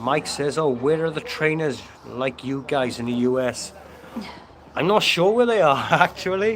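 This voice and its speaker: A man talks at a moderate pace with lively intonation and a fairly high pitch. Noticeable background noise sits behind him. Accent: Welsh. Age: 50s. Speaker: fitness trainer, livestream host. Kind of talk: casual livestream chat. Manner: animated.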